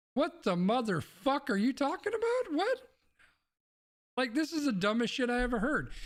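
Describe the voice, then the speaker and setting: This man's pitch is extremely high and swings very widely, his loudness very even. He keeps a moderate pace, with long, frequent pauses. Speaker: live streamer. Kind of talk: casual chat. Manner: quiet.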